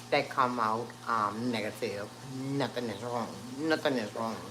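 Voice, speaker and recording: Room echo is audible and background noise is noticeable. The speech moves at a fairly slow pace. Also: woman. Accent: New Orleans. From New Orleans, Louisiana. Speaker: cooking channel host, live streamer. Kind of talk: casual livestream health update. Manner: halting, many fillers.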